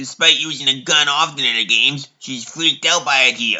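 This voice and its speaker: A man speaks at a fairly high pitch. His intonation is fairly even and his pace fairly quick. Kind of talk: parody narration. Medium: fan dub.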